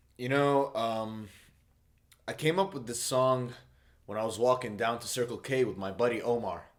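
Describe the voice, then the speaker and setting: With an Arabic accent, a man speaks at a medium pitch and a moderate pace, with ordinary pitch variation and long, frequent pauses. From Saudi Arabia. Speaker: musician. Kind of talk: casual interview monologue. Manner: hesitant, many fillers.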